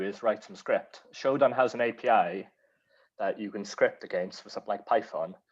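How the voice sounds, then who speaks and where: With a strong Welsh accent, a man speaks over a quiet background. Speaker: cyber security speaker. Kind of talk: Q&A discussion.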